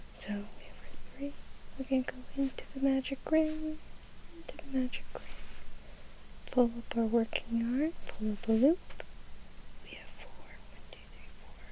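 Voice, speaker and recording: The speaker whispers in a calm, soft-spoken tone at a fairly slow pace. Long, frequent pauses break up the speech. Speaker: ASMR crochet tutorial host. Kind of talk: ASMR crochet tutorial, step-by-step instruction. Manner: soft-spoken with whispers, calm, slow.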